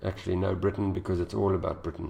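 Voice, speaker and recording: A man speaks in a very deep, low pitch with a dark, mellow tone, somewhat breathy. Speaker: IELTS teacher. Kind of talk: tutorial. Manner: fast.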